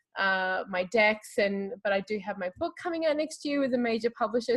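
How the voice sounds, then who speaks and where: Her intonation lively, a woman with an Australian accent speaks at a fairly high pitch and a moderate pace. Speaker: tarot reader. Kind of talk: interview conversation.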